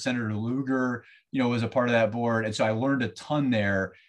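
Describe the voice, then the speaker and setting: With an American accent, a man at a medium pitch talks at a very fast pace with fairly even intonation against a quiet background. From US Southeast. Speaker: financial firm representative. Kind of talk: interview. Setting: remote recording.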